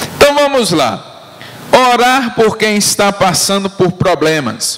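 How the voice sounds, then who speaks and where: Noticeable background noise is present. A man is the one speaking. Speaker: pastor. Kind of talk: teaching sermon. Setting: church. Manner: slow, deliberate; repetitive call-and-response.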